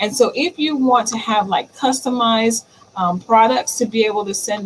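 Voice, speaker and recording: Ordinary pitch variation at a moderate pace, with noticeable background noise. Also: woman. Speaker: digital marketing livestream host. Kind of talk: solo livestream talk. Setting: live stream. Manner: stammers at times; casual, chatty.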